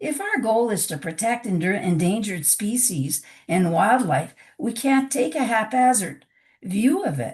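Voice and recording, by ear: A woman's voice is raspy, with a slightly mellow tone. Her pitch swings widely. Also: medium pitch for a woman, fairly slow pace.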